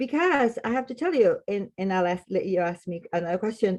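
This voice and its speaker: A woman with a Spanish accent speaks at a moderate pace, her pitch swinging very widely. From Latin America, Spanish-speaking. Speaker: clinical social worker. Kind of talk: podcast interview.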